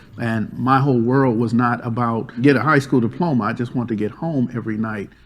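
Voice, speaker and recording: A man speaks at a fairly quick pace. His pitch is medium and his intonation fairly even. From Los Angeles, US. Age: 50s. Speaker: domestic violence counselor. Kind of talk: panel discussion.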